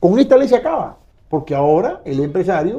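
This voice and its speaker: This man talks at a very fast pace. His tone is dark and mellow. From Venezuela, Bolívar state (San Félix area). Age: 60s. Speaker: lawyer and oil business association director. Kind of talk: interview.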